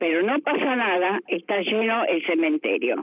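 A woman talks at a fairly slow pace with very wide pitch swings. Noticeable background noise runs underneath. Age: 80s+. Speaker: retiree. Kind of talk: interview.

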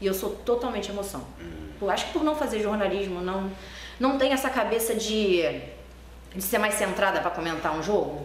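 A woman at a medium pitch and fairly quick pace with lively intonation, amid noticeable background noise and audible room echo. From Rio de Janeiro, Brazil. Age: 20s. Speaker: football supporters' group member and youtuber. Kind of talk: interview.

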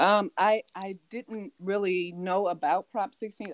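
A woman with an American accent speaks at medium pitch in a dry, close sound with no echo. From California. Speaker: teacher. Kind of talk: casual chat. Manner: halting.

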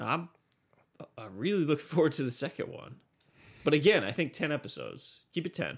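A man speaks at a fairly high pitch with vocal fry, lively intonation and a fairly quick pace. Long, frequent pauses break up his speech, and his loudness swings widely. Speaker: podcast host. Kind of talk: casual chat.

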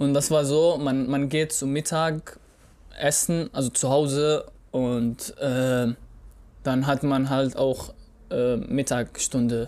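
Speaking very slowly with long, frequent pauses, a man with an Arabic accent keeps a fairly high pitch, fairly even intonation and very even loudness. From Syria (Raqqa). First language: Arabic (speaking German). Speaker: podcast co-host. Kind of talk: casual chat. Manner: halting.

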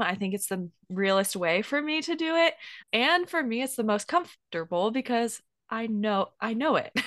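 An unremarkable speaking voice from a woman, lively in intonation and moderate in pace, over a quiet background. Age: 20s. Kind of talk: casual Bible teaching chat.

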